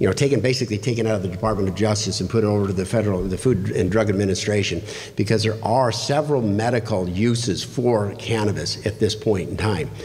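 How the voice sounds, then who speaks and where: Words come at a very fast pace with hardly any pauses and fairly even intonation. Noticeable background noise and audible room echo fill the recording. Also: man, fairly low pitch for a man. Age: 60s. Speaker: political candidate. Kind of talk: candidate forum answer. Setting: public library meeting room.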